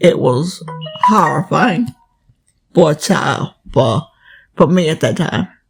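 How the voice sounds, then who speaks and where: A woman with an American accent speaks at a very slow pace, leaving long, frequent pauses, with music playing in the background. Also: fairly low pitch for a woman. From Southern United States. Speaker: grandmother sharing oral history. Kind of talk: interview answer.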